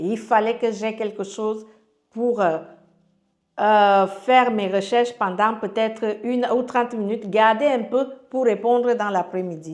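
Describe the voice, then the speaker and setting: Her pitch fairly high and her intonation fairly even, a woman speaks at a fairly slow pace. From Cameroon, Yaoundé. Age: 40s. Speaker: life coach sharing her story. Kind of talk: testimony. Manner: halting.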